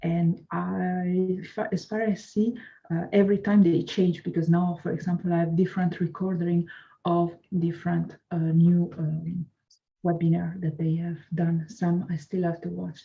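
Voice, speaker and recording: A woman with a non-native accent sounds somewhat breathy, her dark, mellow tone delivered in a monotone, flat intonation. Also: moderate pace. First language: not English. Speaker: course student. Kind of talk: interview. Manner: halting.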